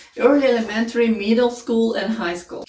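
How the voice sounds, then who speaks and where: Over noticeable background noise, a woman with a non-native accent speaks in a fairly high pitch. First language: not English. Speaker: homeschooling parent, curriculum reviewer. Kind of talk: casual tutorial review.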